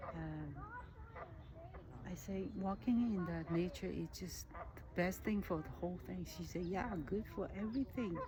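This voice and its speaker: Amid noticeable background noise and audible room echo, a woman speaks at a fairly slow pace with long, frequent pauses. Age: 60s. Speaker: nature vlogger. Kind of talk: casual monologue vlog. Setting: outdoors in a park. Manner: halting, many restarts.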